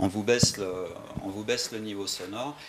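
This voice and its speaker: A man's intonation is fairly even. He races along at a very fast pace. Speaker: audiologist. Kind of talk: presentation to audience. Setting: room with audience, microphone.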